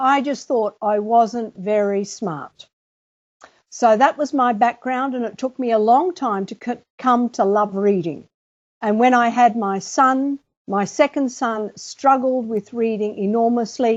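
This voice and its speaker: A woman with a fairly high pitch talks at a fairly slow pace in a normal speaking voice, her pitch variation ordinary. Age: 60s. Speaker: author and teacher. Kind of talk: interview.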